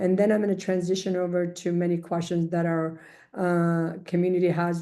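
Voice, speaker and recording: A woman's fairly low, dark, mellow voice at a fairly quick pace in a monotone, flat intonation. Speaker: immigration attorney. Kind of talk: informational webinar presentation in English and Dari. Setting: video call webinar. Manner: fast.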